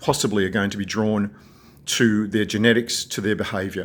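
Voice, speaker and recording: On a very clean recording with a silent background, a man with an Australian accent talks at a moderate pace in a fairly low pitch with fairly even intonation. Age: 60s. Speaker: video blogger. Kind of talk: personal vlog monologue. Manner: calm.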